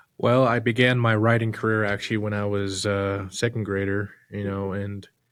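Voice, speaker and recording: The recording is very clean, with a silent background. The delivery moves at a moderate pace in a monotone, flat intonation. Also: man. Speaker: director and script writer of fan film. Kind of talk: casual chat.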